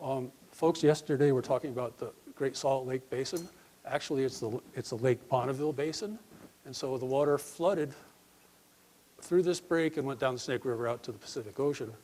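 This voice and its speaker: This man has a dark, mellow tone and a fairly high pitch with ordinary pitch variation. He talks at a fairly quick pace. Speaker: conference presenter, ecologist. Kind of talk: conference talk.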